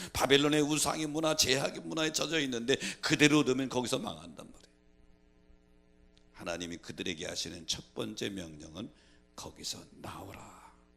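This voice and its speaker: Speaking in a strong Chungcheong accent at a moderate pace, a man with a medium pitch and a bright, sharp tone uses vocal fry, very wide pitch swings, big swings in loudness and long, frequent pauses. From Korea, Chungcheong province. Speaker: pastor. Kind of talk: sermon. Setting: church.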